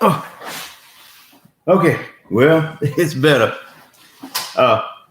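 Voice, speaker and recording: A man talks at a very slow pace, with audible echo in the room. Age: 60s. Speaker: motivational vlogger and inventor. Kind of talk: casual vlog monologue. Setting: home office. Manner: halting, many fillers.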